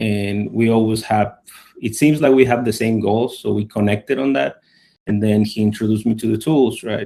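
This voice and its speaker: A man with a Mexican accent talks at a moderate pace and medium pitch, his tone dark and mellow and his intonation fairly even. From Mexico, San Luis Potosí. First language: Spanish. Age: 30s. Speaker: podcast guest, communication coach. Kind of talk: casual interview chat.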